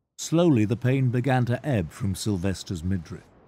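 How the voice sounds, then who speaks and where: Somewhat breathy and at a fairly slow pace, a man speaks in a medium pitch with lively intonation. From UK. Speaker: voice actor. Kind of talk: audiobook narration.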